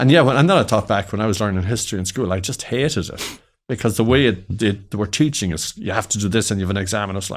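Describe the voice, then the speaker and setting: A man with a west of Ireland accent and fairly low pitch, very fast pace, hardly any pauses, in a very clean recording with a silent background. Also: ordinary pitch variation. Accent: west of Ireland Irish. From Ireland, County Mayo. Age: 60s. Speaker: entrepreneur. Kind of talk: interview chat.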